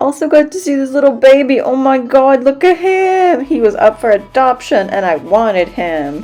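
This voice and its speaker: With music behind her, a woman speaks at a moderate pace in a high voice that swings very widely in pitch. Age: 30s. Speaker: knitting podcaster, freelance translator. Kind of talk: vlog voiceover narration.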